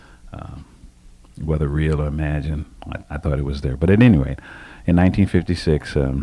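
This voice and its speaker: With an American accent, a man talks at a fairly quick pace in a very deep, low pitch, using ordinary pitch variation, big swings in loudness, and long, frequent pauses over noticeable background noise. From southern Maryland, US. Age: 60s. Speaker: retired army officer and county administrator. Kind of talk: oral history interview. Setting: office. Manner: halting, many fillers and repeats.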